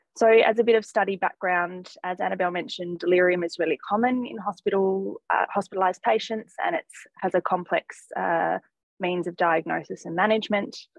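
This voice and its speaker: With an Australian accent, a woman speaks at a fairly quick pace with ordinary pitch variation, against a quiet background and a dry sound with no echo. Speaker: geriatric medicine fellow. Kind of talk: academic presentation; journal club presentation. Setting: video call. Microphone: video call.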